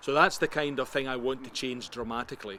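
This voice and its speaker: Speaking at a very fast pace in a Scottish accent, a man uses a bright, sharp tone at medium pitch with fairly even intonation. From Scotland. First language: Scots. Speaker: interviewee, Scottish nationalist. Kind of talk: interview.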